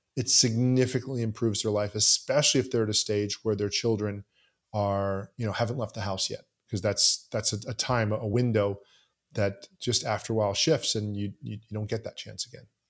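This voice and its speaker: A man with an American accent, fairly low pitch and a monotone, flat intonation at a fairly quick pace, on a very clean recording with a silent background. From US South, Southeast Florida. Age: 50s. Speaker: podcaster and entrepreneur. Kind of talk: interview conversation.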